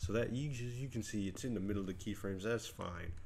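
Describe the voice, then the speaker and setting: At a fairly quick pace, a man speaks in a fairly low, somewhat breathy voice. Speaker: video editing tutorial youtuber. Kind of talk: tutorial. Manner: fast; casual, energetic.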